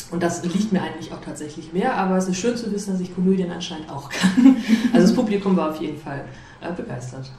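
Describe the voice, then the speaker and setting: Through noticeable background noise and audible room echo, a woman with a fairly low pitch speaks at a very fast pace, her intonation lively and her loudness swinging widely. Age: 30s. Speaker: amateur theatre director. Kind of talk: interview.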